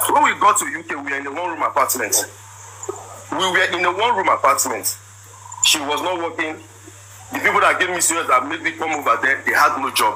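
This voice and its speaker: A man rattles off words at a very fast pace, stopping for long, frequent pauses, with noticeable background noise behind him. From Nigeria (Igbo). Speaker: businessman telling his side of a marriage dispute. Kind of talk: personal testimony. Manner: animated.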